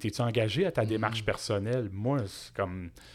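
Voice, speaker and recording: In a very clean recording with a silent background, a man speaks at a medium pitch with a Quebec accent. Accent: Québécois French. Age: 50s. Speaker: entrepreneur. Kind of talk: casual interview. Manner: animated.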